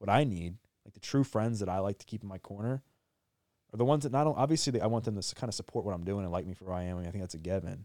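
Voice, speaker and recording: Very fast and with lively intonation, a man with an American accent speaks at a fairly low pitch in a dark, mellow tone, with big swings in loudness, a dry, close sound with no echo, and a very clean recording with a silent background. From Maryland. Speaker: personal trainer and speaker. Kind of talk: interview testimony. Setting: in-person studio.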